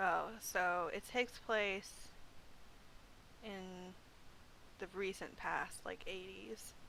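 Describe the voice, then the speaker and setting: Loud and very slow, a woman speaks with a bright, sharp tone, vocal fry, fairly even intonation and long, frequent pauses. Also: medium pitch for a woman. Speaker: librarian. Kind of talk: casual chat.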